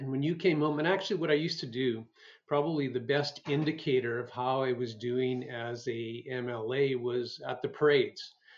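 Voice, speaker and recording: Speaking with a Canadian Prairie accent, a man keeps a medium pitch, fairly even intonation and a moderate pace. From rural Alberta, Canada. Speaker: former politician and physician. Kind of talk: interview.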